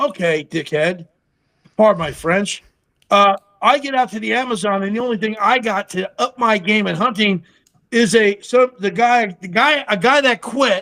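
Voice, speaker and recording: This man's raised, projected voice sits high in pitch, with a bright, sharp tone. He moves at a moderate pace with ordinary pitch variation. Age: 60s. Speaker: TV survivalist and army veteran. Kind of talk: casual chat. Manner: animated.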